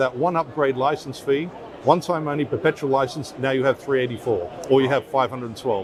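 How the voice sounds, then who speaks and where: Noticeable background noise accompanies a man talking at a fairly quick pace in a fairly high voice with ordinary pitch variation. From Australia, Perth. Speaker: audio company general manager. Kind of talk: trade show interview. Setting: trade expo floor.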